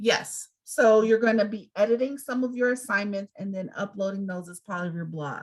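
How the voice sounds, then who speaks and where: A somewhat breathy woman speaks at a medium pitch and moderate pace with hardly any pauses. Her loudness swings widely while her pitch varies in an ordinary way. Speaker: college instructor. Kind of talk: online class Q&A.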